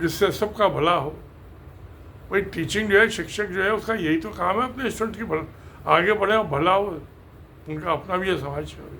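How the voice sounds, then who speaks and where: A man's raised, projected voice, high in pitch, at a moderate pace with ordinary pitch variation and long, frequent pauses. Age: 80s+. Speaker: engineer and video creator. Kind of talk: casual talk to camera. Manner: halting.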